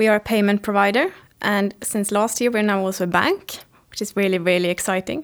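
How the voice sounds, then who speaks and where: With a Swedish accent, a woman talks fairly quickly at a medium pitch and with fairly even intonation, in a very clean recording with a silent background. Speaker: head of global mobility at a tech company. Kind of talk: interview.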